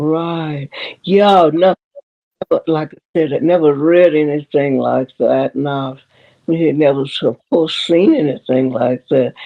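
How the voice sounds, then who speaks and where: A woman with a Southern US accent speaks at a very slow pace in a very deep, low pitch with ordinary pitch variation. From Memphis, Tennessee. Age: 80s+. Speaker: retired schoolteacher. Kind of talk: interview answer. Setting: video call.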